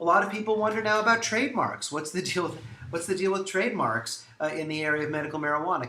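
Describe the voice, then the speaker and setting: Noticeable background noise and audible room echo fill the recording. A man talks at a very fast pace. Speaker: lawyer. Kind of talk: promotional talk. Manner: animated.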